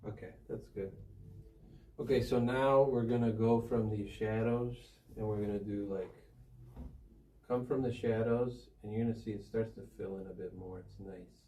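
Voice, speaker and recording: With a Chicago accent, a man at medium pitch sounds somewhat breathy, keeps a fairly even intonation with big swings in loudness, and leaves long, frequent pauses amid audible room echo. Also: moderate pace. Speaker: professional painter. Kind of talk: painting tutorial.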